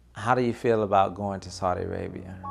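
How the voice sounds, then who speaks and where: In a very clean recording with a silent background, a man with an American accent uses a plain, everyday voice at a moderate pace. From US South, North Carolina. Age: 30s. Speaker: IT consultant and army veteran. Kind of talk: documentary interview.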